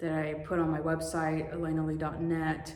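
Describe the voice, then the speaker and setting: With an American accent, a woman speaks at a moderate pace in a fairly low pitch, amid noticeable background noise and audible room echo. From Russia, adopted to the US as a child. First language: Russian. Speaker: adoptee vlogger and author. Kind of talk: personal vlog talk to camera. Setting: home garage.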